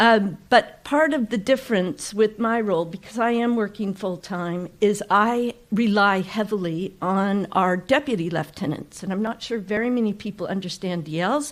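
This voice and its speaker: Hardly pausing, the speaker talks at a moderate pace in a Californian accent with ordinary pitch variation. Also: woman, medium pitch for a woman. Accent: Californian American. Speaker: ceremonial county official. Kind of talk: public speech. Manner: brief, conversational.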